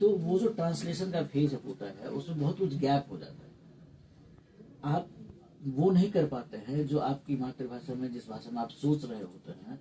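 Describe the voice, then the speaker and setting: A man talks with vocal fry at a fairly high pitch in a dark, mellow tone. His intonation is lively and his loudness swings widely. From Mithila region, Bihar, India. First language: Maithili (speaking Hindi). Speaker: theatre academic. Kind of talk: interview. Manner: some hesitations, fillers.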